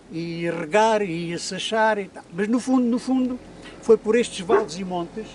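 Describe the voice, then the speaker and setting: Ordinary pitch variation from a man with a high voice. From Portugal, Alegrete (Alto Alentejo). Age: 80s+. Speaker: interviewee, former muleteer. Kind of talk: life story interview. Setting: outdoors in the hills. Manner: halting, repetitive.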